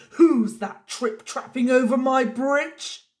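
This put-on character voice growls at a fairly high pitch. The pace is fairly slow. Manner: monstrous growl.

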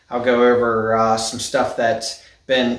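Male speech carrying audible room echo. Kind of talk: casual vlog chat. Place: garage. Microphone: phone near.

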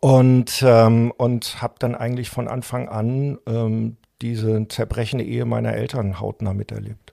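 On a very clean recording with a silent background and a dry, close sound with no echo, a man speaks fairly slowly in a fairly low pitch with a dark, mellow tone. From Germany, Saarland. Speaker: journalist and activist. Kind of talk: interview conversation.

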